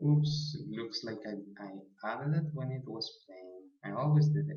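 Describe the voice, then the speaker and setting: A man with a non-native accent, with audible room echo. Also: medium pitch for a man, ordinary pitch variation, moderate pace. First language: not English. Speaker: programming tutorial maker. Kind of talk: tutorial. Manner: halting.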